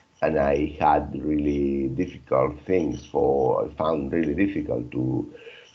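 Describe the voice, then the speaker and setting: A man talks at a fairly slow pace, and noticeable background noise is audible throughout. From Spain. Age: 50s. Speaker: English learner. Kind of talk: casual chat.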